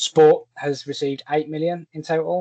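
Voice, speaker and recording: Someone with a Birmingham accent speaks at a moderate pace. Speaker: fundraising platform partnership rep. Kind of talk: online presentation. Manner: many filler words, hesitant.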